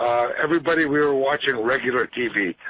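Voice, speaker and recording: At a moderate pace, a man talks in a plain, everyday voice. His pitch is fairly high. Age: 50s. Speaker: caller. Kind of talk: call-in talk radio. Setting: phone call.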